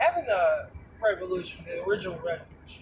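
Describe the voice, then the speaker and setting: A man with an American accent talks at a moderate pace. Noticeable background noise sits behind him. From New York. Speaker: vlogger. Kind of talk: casual monologue while driving.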